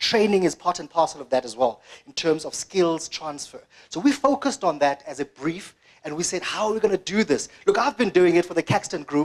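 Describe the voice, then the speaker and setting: A man speaks at a high pitch, his voice swinging very widely up and down with an animated tone. The pace is fairly quick, and the loudness rises and falls sharply. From South Africa, Eastern Cape (Graaff-Reinet). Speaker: media digital director. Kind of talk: conference presentation. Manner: fast.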